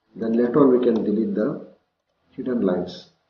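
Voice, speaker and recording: This is a normal speaking voice. It moves at a moderate speed. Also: man. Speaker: CAD instructor. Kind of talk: tutorial.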